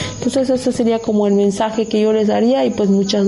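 Noticeable background noise runs behind this woman. She has a fairly high pitch. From Mexico, Oaxaca coast. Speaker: community land defender. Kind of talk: radio interview.

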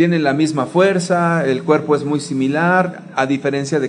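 A man talks in an ordinary speaking voice, pitched fairly high. His pitch variation is ordinary. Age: 40s. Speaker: church teacher. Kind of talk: teaching talk.

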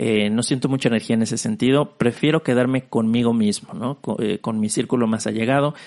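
The sound is dry and close, with no echo. A man talks at a fairly quick pace with ordinary pitch variation. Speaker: podcast host. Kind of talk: solo reflective monologue. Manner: low energy, subdued; halting, many fillers and repetitions.

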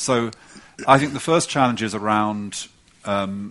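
Someone speaks with an English accent and ordinary pitch variation. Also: man. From England. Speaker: policy report author. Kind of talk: panel conversation.

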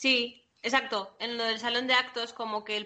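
A woman talks at a moderate pace. Her intonation is flat and monotone. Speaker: podcast co-host. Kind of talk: casual chat.

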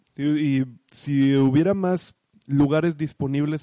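Fairly high for a man, his voice has a dark, mellow tone and fairly even intonation. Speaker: sports podcast host. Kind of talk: casual sports chat.

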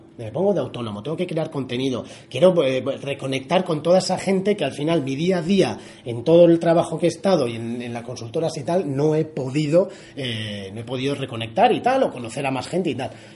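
Lively intonation marks a man's fairly high-pitched voice at a fairly quick pace. Noticeable background noise can be heard. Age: 30s. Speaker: podcast host. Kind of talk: casual interview. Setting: guest's office.

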